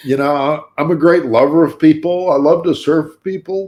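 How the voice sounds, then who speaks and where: Fairly high for a man, an ordinary speaking voice shows ordinary pitch variation. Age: 60s. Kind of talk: casual chat.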